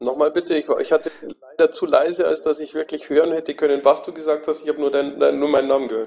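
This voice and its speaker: A man talks very fast, with hardly any pauses. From Amberg, Upper Palatinate. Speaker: participant. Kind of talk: casual panel discussion. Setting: voice chat online.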